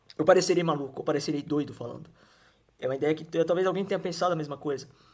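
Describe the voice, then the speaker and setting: A man's fairly high voice at a very fast pace, with fairly even intonation. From Brazil, Mato Grosso do Sul (Campo Grande). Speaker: YouTuber. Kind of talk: monologue. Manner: halting, many restarts.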